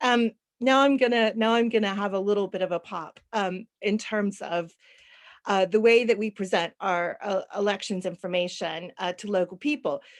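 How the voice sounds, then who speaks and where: Fairly high in pitch, a woman with an American accent speaks in a normal speaking voice at a moderate pace. Her pitch varies in an ordinary way on a very clean recording with a silent background. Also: dry, close sound with no echo. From United States. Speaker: panelist. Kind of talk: panel discussion.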